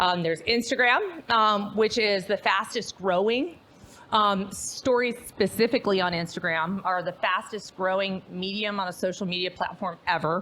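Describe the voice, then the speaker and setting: Loud and at a medium pitch, a woman speaks with an American accent. She keeps a moderate pace with ordinary pitch variation. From US Midwest, Chicago. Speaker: real estate agent and trainer. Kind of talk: presentation to agents. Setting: live event also streamed on Zoom. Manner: loud, projecting voice, held down a bit.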